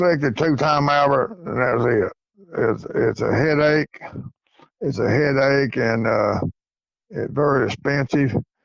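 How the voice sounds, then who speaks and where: In an East Tennessee accent, a man speaks at a fairly slow pace and fairly high pitch. He leaves long, frequent pauses, and his pitch varies in an ordinary way. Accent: Southern US (East Tennessee). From East Tennessee, US South. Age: 70s. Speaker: coonhound breeder and hunter. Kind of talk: interview.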